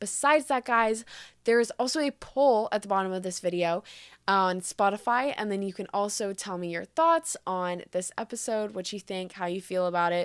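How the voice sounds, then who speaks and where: A woman with a medium pitch talks in an animated tone with lively intonation, the sound dry and close with no echo in a very clean recording over a silent background. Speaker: podcast host. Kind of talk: casual chat. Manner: fast.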